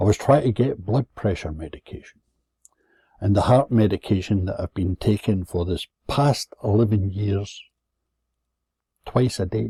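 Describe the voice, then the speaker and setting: At a moderate pace and fairly low pitch, a man speaks in a dark, mellow, somewhat breathy tone with ordinary pitch variation and long, frequent pauses, the recording very clean, dry and close, with a silent background and no echo. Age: 70s. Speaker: vlogger telling personal complaint. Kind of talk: personal rant. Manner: sardonic storytelling.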